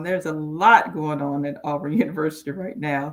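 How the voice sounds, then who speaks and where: With a Southern US accent, a woman talks at a moderate pace in a very deep, low pitch. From Alabama, Mobile. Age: 60s. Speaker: roundtable panelist. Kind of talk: casual chat.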